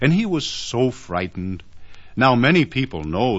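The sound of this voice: Simply an unforced reading voice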